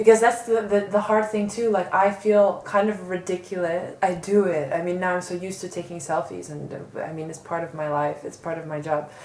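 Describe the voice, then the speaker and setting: Over noticeable background noise, a woman with a New York accent speaks at a fairly quick pace and medium pitch, her pitch varying in an ordinary way. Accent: New York American English. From New York, US. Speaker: online magazine founder and art director. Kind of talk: interview. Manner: loud; animated.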